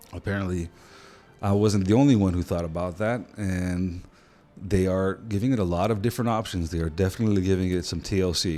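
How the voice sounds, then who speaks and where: At a fairly quick pace, a man with a very deep, low pitch speaks in a dark, mellow tone with fairly even intonation. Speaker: tabletop gaming youtuber. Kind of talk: casual commentary video.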